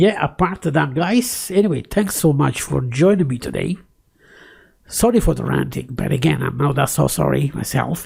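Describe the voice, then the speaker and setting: The delivery is moderately paced. It carries a non-native accent. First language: not English. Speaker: tech YouTuber. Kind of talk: casual screen-recorded tutorial with ranting. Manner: close to the microphone; hesitant, many fillers and repeats.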